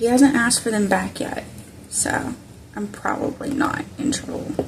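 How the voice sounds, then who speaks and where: Over noticeable background noise, a woman with an American accent talks at a moderate pace, her loudness swinging widely. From US South. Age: 20s. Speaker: crafter. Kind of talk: crafting tutorial. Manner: casual thinking aloud.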